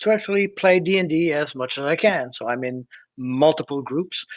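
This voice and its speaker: Here a man speaks at a fairly high pitch. His intonation is lively. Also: very clean recording, silent background. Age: 60s. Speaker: tabletop game player. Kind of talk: self-introduction in casual chat. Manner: hesitant, many fillers.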